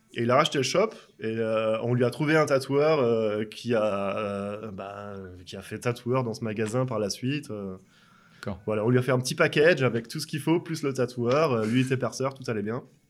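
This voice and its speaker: A very clean recording against a silent background: a man at medium pitch with an ordinary speaking voice, moderate speed and ordinary pitch movement. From France. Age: 30s. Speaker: tattoo artist. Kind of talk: casual interview. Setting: tattoo shop.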